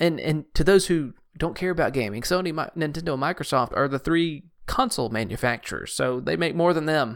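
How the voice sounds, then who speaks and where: In a very clean recording with a silent background, a man with a normal speaking voice talks at a fairly quick pace, his fairly high pitch moving with lively intonation. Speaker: podcast co-host. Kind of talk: casual chat.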